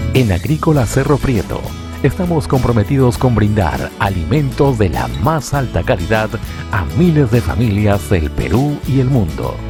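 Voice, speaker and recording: Music plays behind a man with a fairly low pitch who speaks at a fairly slow pace. His pitch swings very widely while his loudness stays very even. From Peru. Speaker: voice-over announcer. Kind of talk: corporate narration.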